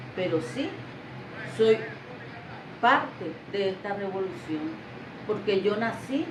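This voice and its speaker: A woman speaks very slowly at medium pitch, with long, frequent pauses and lively intonation. Noticeable background noise and audible room echo are present. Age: 60s. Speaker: retired literacy teacher. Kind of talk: interview.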